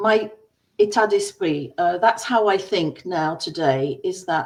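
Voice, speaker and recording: At a fairly slow pace, a woman speaks at medium pitch with lively intonation. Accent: English. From England. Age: 60s. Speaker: entrepreneur, former dancer. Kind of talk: personal story presentation.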